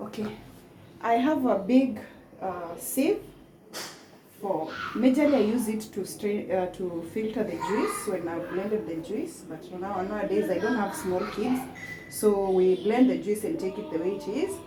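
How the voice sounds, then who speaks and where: A woman at medium pitch, lively in intonation and fairly slow in pace, with audible room echo and noticeable background noise. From Kenya. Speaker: cooking vlogger. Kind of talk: cooking tutorial. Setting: home kitchen. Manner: halting.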